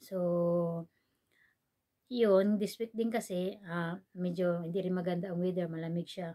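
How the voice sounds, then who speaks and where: A soft-spoken woman talks at a moderate pace in a fairly low, dark and mellow voice with monotone, flat intonation. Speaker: vlogger. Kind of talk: casual vlog chat. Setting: indoors at home, dim room. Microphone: no external mic, quiet recording.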